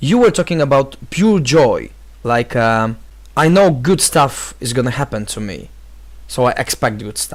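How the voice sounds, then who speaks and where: With a Polish accent, a man speaks in big swings of loudness. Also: medium pitch for a man, lively intonation, fairly slow pace. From Poland. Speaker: vlogger, vocal trainer and life coach. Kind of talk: video response monologue. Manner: halting, many fillers.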